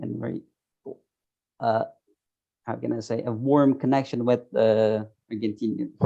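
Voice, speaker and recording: The voice has a dark, mellow tone and a flat, monotone intonation, moving at a moderate pace with long, frequent pauses. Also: man. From Turkey. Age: 30s. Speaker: software tester. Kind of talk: interview. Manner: halting.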